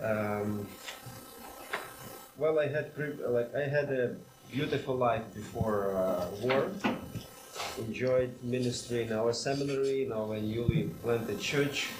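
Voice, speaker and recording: A man in a Ukrainian accent at a medium pitch, fairly slow with long, frequent pauses and ordinary pitch variation, amid audible room echo and noticeable background noise. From Ukraine. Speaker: seminary president and church planter. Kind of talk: interview answers.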